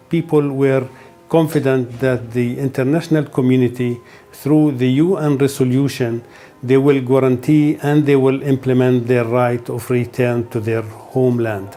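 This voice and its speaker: Over music in the background, a man at medium pitch speaks at a moderate pace with fairly even intonation. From Palestine, West Bank (Hebron area). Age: 60s. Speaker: Palestinian refugee interviewee. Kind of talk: personal testimony interview. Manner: halting, with hesitations and repetitions.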